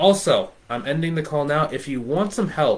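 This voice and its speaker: A man's fairly high voice with very wide pitch swings. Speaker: business coach for bookkeepers. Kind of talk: live stream coaching talk. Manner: fast; casual, many fillers.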